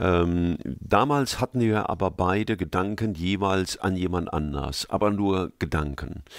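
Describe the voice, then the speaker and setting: A man speaks fairly slowly at a very deep, low pitch with hardly any pauses. His loudness stays very even. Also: ordinary pitch variation. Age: 60s. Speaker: preacher. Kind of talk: interview. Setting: studio.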